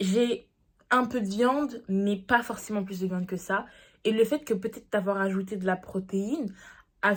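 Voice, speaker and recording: A woman's medium-pitched voice at a very slow pace, with ordinary pitch variation, on a very clean recording with a silent background. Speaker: diet vlogger. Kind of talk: casual vlog talk to camera.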